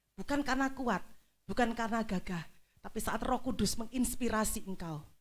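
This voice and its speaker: With a normal speaking voice, a woman talks fairly quickly at a fairly high pitch with ordinary pitch variation. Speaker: pastor. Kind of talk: sermon.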